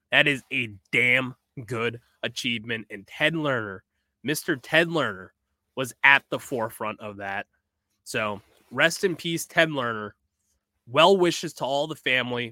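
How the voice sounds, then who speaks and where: With an American accent, a man speaks at a medium pitch and a fairly slow pace, with long, frequent pauses. His tone is bright and sharp, his intonation lively, on a very clean recording with a silent background. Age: 20s. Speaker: sports podcast host. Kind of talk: solo podcast monologue.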